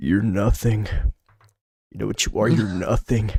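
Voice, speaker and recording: A man uses a put-on character voice, raspy and fairly low-pitched, at a moderate pace. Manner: harsh, cutting, belittling.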